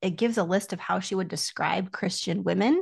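Against a quiet background, a woman talks at a moderate pace in a somewhat breathy voice. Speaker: doctoral student in biblical studies. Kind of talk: casual chat.

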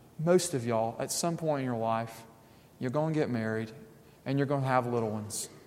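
A man's medium-pitched voice with ordinary pitch variation, a fairly quick pace, long and frequent pauses, and audible room echo. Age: 30s. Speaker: pastor. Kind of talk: sermon.

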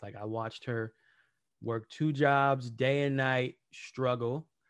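The background is quiet as a man talks, his pitch varying in an ordinary way. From US, Los Angeles (Watts). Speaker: musician and coach. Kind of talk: interview. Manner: animated.

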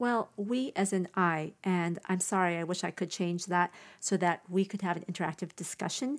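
The recording is very clean, with a silent background. A woman with an unremarkable speaking voice talks at a moderate pace with ordinary pitch variation. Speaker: podcast host. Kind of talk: solo podcast monologue, casual chat. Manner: casual, conversational.

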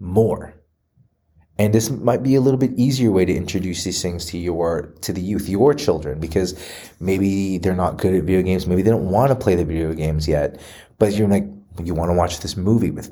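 Audible room echo around a man's very deep, low voice, dark and mellow in tone, at a fairly quick pace. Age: 30s. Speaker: movie commentary vlogger. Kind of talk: solo commentary monologue. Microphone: re-recorded after a microphone issue.

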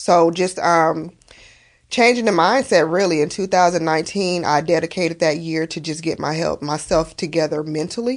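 A woman in an American accent, fairly low pitch, ordinary pitch variation and a moderate pace, an unremarkable speaking voice. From Las Vegas, Nevada. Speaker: cosmetology school owner and author. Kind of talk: casual interview.

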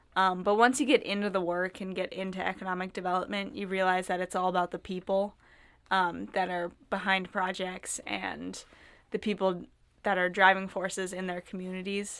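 A woman with an American accent and a normal speaking voice talks at a moderate pace and medium pitch. Her intonation is fairly even, in a very clean recording with a silent background. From Minnesota (Northfield). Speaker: intern and college student. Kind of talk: casual chat.

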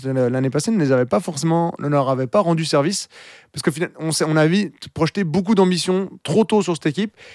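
Delivered at a very fast pace with ordinary pitch variation, the speech has a dry, close sound with no echo on a very clean recording with a silent background. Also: man. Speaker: ice hockey podcast host and commentator. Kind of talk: casual chat.

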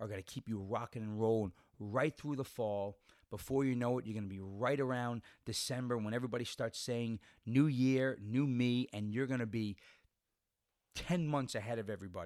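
An unremarkable speaking voice, fairly quick in pace, with ordinary pitch variation. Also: man, medium pitch for a man. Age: 40s. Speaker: podcast host and bodybuilder. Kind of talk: motivational monologue. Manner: casual with many fillers.

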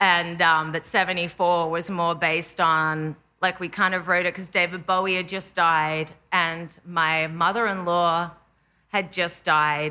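A woman with an Australian accent, fairly low in pitch, bright and sharp in tone, monotone and flat at a fairly slow pace against a quiet background. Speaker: indie pop musician. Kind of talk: casual chat.

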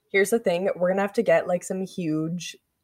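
Pitch varies in an ordinary way. It is a normal speaking voice. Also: woman. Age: 20s. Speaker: podcast co-host. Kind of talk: casual chat. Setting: studio.

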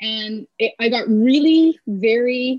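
Somewhat breathy, a woman with a Canadian accent speaks with ordinary pitch variation in a dry, close sound with no echo. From Canada, Kingston, Ontario. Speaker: athletic therapist and strength coach. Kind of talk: casual interview.

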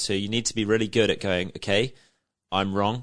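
The background is quiet. A man with a southern English accent talks very fast in a fairly low pitch. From Isle of Wight, southern England. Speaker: business founder. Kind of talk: interview. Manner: hesitant, with fillers and restarts.

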